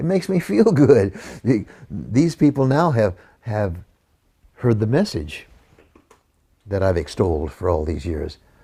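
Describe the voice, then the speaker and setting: A somewhat breathy man's voice of dark, mellow tone, very wide pitch swings and long, frequent pauses. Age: 80s+. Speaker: juicing promoter. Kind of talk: interview answer. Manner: energetic.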